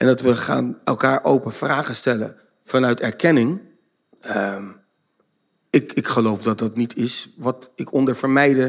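Vocal fry runs through a man's medium-pitched voice. He speaks very slowly, with long, frequent pauses. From Netherlands, Zoetermeer (South Holland). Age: 50s. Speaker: behaviour trainer and author. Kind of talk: casual chat. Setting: stage with audience.

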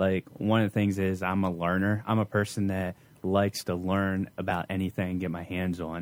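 On a very clean recording with a silent background, a man speaks in a very deep, low pitch with monotone, flat intonation. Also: moderate pace. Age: 30s. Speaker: youth pastor. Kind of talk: casual chat.

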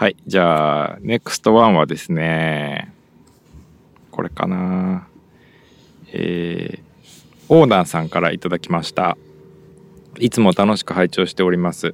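Pausing long and often, a man with a Japanese accent speaks in a very deep, low voice. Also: ordinary pitch variation, moderate pace, dry, close sound with no echo. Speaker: podcast host. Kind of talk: casual bilingual chat.

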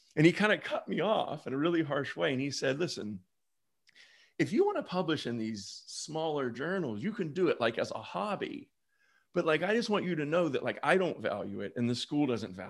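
On a very clean recording with a silent background, a man with vocal fry speaks at a fairly high pitch and fairly quick pace, with very wide pitch swings. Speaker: business school professor. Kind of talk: panel discussion.

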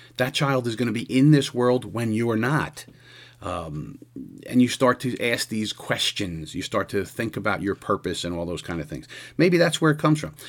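A man's voice swings very widely in pitch. The recording is very clean, with a silent background. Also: medium pitch for a man, moderate pace. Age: 60s. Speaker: podcast host and police lieutenant. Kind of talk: solo monologue. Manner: casual, halting with repetitions.

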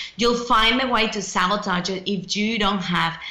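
Speaking at a moderate pace and medium pitch, a woman shows ordinary pitch variation over noticeable background noise. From Mexico. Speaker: author and speaker. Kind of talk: casual interview.

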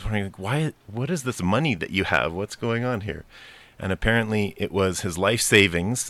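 On a very clean recording with a silent background, a man with a normal speaking voice talks at a fairly quick pace, his pitch fairly low and its variation ordinary. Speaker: urban farmer.

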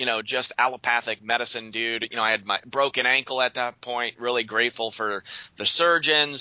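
Speaking at a fairly quick pace, a man with an American accent has a normal speaking voice. His pitch is medium and his intonation fairly even. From Western Pennsylvania. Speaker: naturopathic doctor. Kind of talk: interview.

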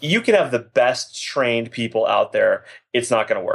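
With an American accent, a man uses a normal speaking voice, talking at a moderate pace with ordinary pitch variation. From Boston, Massachusetts. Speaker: former Olympic athlete and business owner. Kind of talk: interview.

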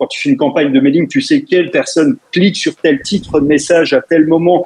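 Talking at a fairly quick pace with hardly any pauses, a man uses a high pitch that swings very widely. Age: 40s. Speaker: web entrepreneur. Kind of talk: radio interview.

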